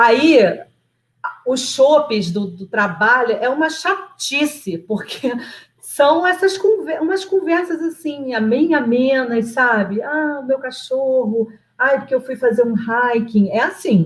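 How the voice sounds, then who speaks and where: A high-pitched woman's voice with very wide pitch swings. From Nova Iguaçu, Rio de Janeiro, Brazil. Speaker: project manager, immigrant. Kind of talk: live interview.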